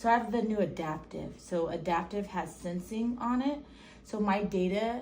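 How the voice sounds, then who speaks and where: A woman speaks with a normal amount of pitch movement, and there's noticeable echo from the room. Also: medium pitch for a woman, moderate pace. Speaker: Parkinson's patient with DBS implant. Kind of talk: casual chat.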